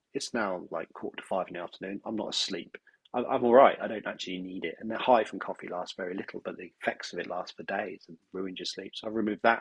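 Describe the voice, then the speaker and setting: A man speaks at a very fast pace. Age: 40s. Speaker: business owner. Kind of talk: podcast interview.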